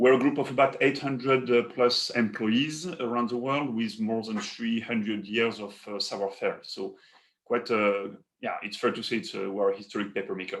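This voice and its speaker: The speaker has a French accent, a moderate pace, and ordinary pitch variation. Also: man, medium pitch for a man. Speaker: paper company executive. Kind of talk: webinar presentation. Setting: online webinar.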